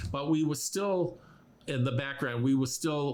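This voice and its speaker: A man speaks at a medium pitch with ordinary pitch variation. Audible room echo and noticeable background noise fill the recording. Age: 70s. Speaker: medical musician, guitarist. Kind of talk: podcast interview. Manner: halting, many fillers.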